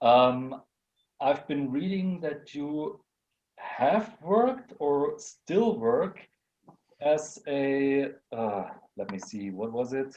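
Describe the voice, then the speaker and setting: A man with a German accent talks at a very slow pace, pitched fairly high. His pitch swings very widely, and long pauses come often. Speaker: wrestling talk show host. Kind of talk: casual chat.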